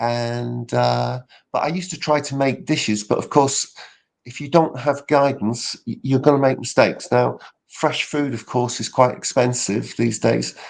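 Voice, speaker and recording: The speaker, in a British accent, keeps a moderate pace with big swings in loudness against a quiet background. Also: man. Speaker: public speaking coach. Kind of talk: casual interview chat.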